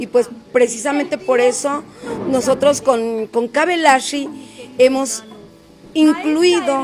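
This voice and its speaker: A woman's high voice at a very slow pace, with long, frequent pauses, ordinary pitch variation and noticeable background noise. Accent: Oaxacan. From Oaxaca, Mexico (Sierra Juárez). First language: Zapotec (speaking Spanish). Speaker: singer-songwriter. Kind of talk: interview.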